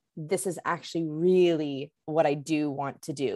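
In a plain, everyday voice, a woman with a Canadian accent speaks at a fairly low pitch with ordinary pitch variation, on a very clean recording with a silent background. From Canada, Vancouver. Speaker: hospitality consultant. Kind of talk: interview.

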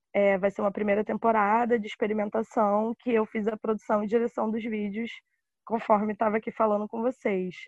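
At a moderate pace, a woman speaks with a fairly high pitch and a monotone, flat intonation. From Rio de Janeiro, West Zone (Guaratiba). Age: 20s. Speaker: cultural producer. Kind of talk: interview.

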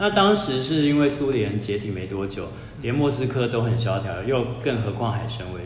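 Noticeable background noise and audible room echo surround a man of medium pitch. He talks at a moderate pace with ordinary pitch variation. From Taiwan, Taipei. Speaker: author and former worker in Russia. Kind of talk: casual chat.

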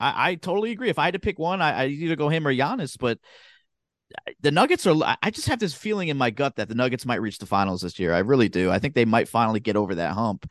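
Over a quiet background, a man with an American accent talks very fast at a fairly high pitch, with very wide pitch swings and vocal fry, in a dry, close sound with no echo. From Southern New Jersey. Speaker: sports podcast co-host. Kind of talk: casual chat.

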